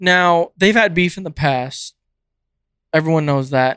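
A bright, sharp tone with fairly even intonation, dry and close with no echo, in a very clean recording over a silent background. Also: man. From California. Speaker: podcast co-host. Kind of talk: casual chat.

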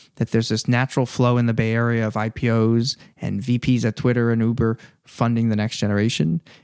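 Over a silent background on a very clean recording, a man with an American accent talks at a medium pitch with fairly even intonation. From New Jersey, US. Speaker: venture capital investor. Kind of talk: casual interview. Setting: in person.

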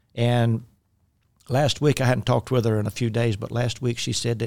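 Here a man talks with a Southern US accent at medium pitch. The recording is very clean, with a silent background. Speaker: podcast host and minister. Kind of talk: casual chat about faith and podcasting. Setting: studio. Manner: self-deprecating, talkative, humorous.

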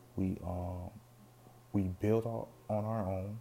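A man's fairly even intonation comes through over noticeable background noise. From Caribbean. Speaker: podcast host. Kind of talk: solo commentary monologue. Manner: halting, many repetitions and fillers.

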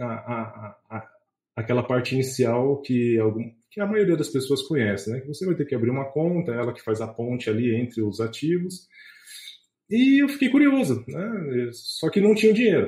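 The voice has a dark, mellow tone and is somewhat breathy, with lively intonation at a moderate pace. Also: man, medium pitch for a man. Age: 30s. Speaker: investment content creator, chemist. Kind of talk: podcast interview. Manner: hesitant, with frequent fillers and repetitions.

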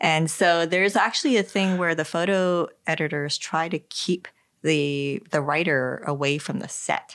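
At a fairly slow pace, a woman with an ordinary speaking voice talks in a fairly low pitch, with ordinary pitch variation and very even loudness. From New Jersey. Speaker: podcast co-host, photographer. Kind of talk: casual chat. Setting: home basement.

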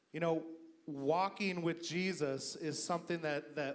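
Fairly high-pitched male speech, fairly even in intonation, against noticeable background noise. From US, Idaho. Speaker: guest pastor. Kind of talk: sermon. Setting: church service with congregation.

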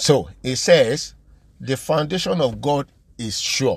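Lively intonation marks this man's voice, which sits at a medium pitch. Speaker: preacher. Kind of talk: sermon. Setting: podcast recording.

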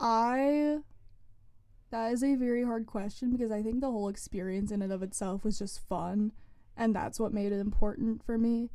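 A woman's fairly high voice carries a dark, mellow tone and fairly even intonation. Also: moderate pace. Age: young. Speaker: student newspaper lifestyle editor. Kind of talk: casual interview. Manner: casual, filler-heavy speech.

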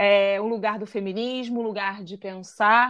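A woman with an unremarkable speaking voice talks fairly slowly at a fairly high pitch against a quiet background. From Rio de Janeiro, Brazil (Santa Teresa). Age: 30s. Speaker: podcast co-host. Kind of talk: casual chat.

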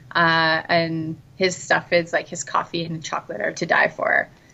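A woman talks at a fairly slow pace. She has a Canadian accent. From Canada, Brockville, Ontario. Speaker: digital nomad, travel guest. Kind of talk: casual interview chat. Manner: hesitant, many fillers.

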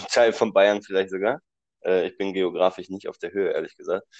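A man speaks against a quiet background, his voice dry and close with no echo. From Düsseldorf area, Germany. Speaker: podcast co-host. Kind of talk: casual chat.

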